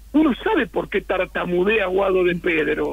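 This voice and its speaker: Background noise is noticeable while a man talks at a moderate speed. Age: 70s. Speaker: political scientist and writer. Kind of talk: radio interview. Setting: phone call.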